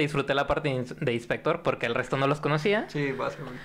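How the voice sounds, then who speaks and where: A man at a very fast pace. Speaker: podcast guest. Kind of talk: casual chat. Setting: studio with live audience.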